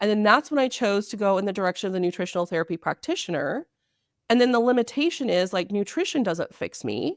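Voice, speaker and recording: Loud and animated, the voice races at a very fast pace with very wide pitch swings, recorded very cleanly with a silent background and a dry, close sound with no echo. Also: woman, medium pitch for a woman. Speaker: naturopathic doctor. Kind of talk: interview. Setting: podcast interview.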